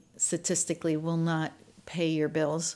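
A fairly low-pitched woman's voice with an American accent comes through on a very clean recording against a silent background. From Maryland, US. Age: 60s. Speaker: innkeeper and energy healer. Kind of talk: casual chat.

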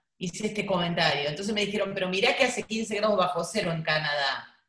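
This woman has a medium pitch and speaks with a Rioplatense accent. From Buenos Aires, Argentina. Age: 50s. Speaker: travel journalist and writer. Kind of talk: interview.

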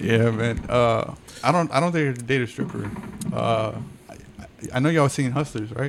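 Fairly slow speech with ordinary pitch variation over noticeable background noise. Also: man, medium pitch for a man. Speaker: podcast host. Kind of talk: casual banter podcast chat.

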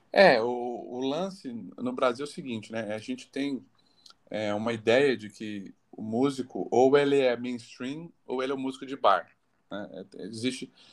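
With a plain, everyday voice, a man at medium pitch speaks at a fairly slow pace, with ordinary pitch variation and big swings in loudness. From Barretos, São Paulo state, Brazil. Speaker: singer-songwriter. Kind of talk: casual interview.

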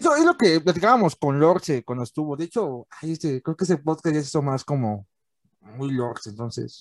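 Against a quiet background with a dry, close sound and no echo, a man with an unremarkable speaking voice talks at a fairly quick pace, with a fairly high pitch and lively intonation. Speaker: podcast host. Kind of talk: casual chat. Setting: video call.

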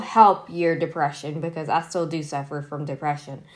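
On a very clean recording with a silent background, a woman speaks with a slight country accent. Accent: slight country twang. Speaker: solo podcast host. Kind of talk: casual solo talk. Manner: casual with many fillers.

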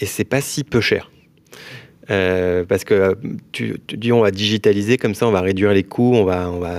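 In a normal speaking voice, a man talks at a moderate pace, his fairly low pitch held in fairly even intonation. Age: 30s. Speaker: mortgage broker, company founder. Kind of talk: casual interview.

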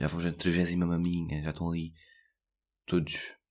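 A man with a very deep, low pitch in a European Portuguese accent, on a very clean recording with a silent background. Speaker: podcast host. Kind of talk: casual solo podcast monologue.

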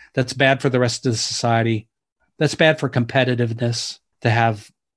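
A man with a Midwestern American accent speaks in a monotone, flat intonation. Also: quiet background. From US Midwest, Detroit suburbs. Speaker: author and inequality researcher. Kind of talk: interview. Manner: hesitant, many fillers.

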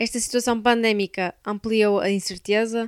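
A woman's fairly high, flat, monotone voice in a very clean recording with a silent background. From Portugal, Braga. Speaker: university student. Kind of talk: scripted narration.

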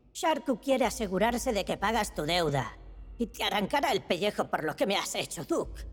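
A female-sounding voice takes on a put-on character voice. It is fairly high in pitch and fairly quick in pace. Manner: mumbling, frightened.

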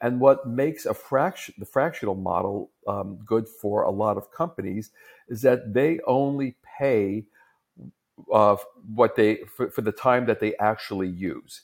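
A man with a New York accent and a medium pitch talks at a fairly slow pace with ordinary pitch variation. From US, New York. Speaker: tech executive, fractional CTO. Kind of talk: interview conversation.

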